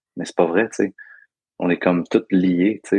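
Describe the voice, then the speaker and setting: Speaking at a fairly quick pace with a Quebec accent, a man with a fairly low pitch is heard in a dry, close sound with no echo. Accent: Québécois French. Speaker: breathwork guide. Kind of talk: casual interview. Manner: animated, laughing.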